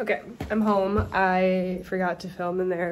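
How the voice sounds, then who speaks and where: A woman speaking at a fairly slow pace, with light background noise. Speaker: college student vlogger. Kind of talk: casual vlog chat. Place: home room. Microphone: phone near.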